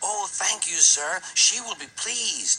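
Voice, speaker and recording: Someone uses a put-on character voice at a fairly high pitch, talking at a fairly slow pace. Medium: read story. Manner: innocent, polite.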